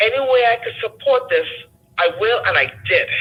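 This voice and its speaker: A non-native accent at a moderate pace. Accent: foreign. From a developing country abroad, immigrant. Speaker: caller. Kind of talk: call-in discussion.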